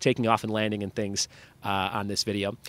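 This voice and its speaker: The speech moves at a fairly quick pace. The sound is dry, with no echo. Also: man. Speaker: podcast host. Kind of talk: podcast intro chat. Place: street. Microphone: studio mic.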